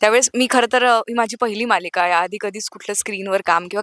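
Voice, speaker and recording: An unremarkable speaking voice with fairly even intonation, recorded with a dry, close sound and no echo. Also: woman. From Nagpur, Maharashtra. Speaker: TV serial actress. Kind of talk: casual interview chat.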